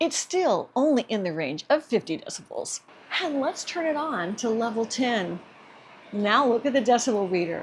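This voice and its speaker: A woman talks at a moderate pace with a fairly high pitch. Her pitch swings very widely. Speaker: product reviewer. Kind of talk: product review demonstration. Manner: animated.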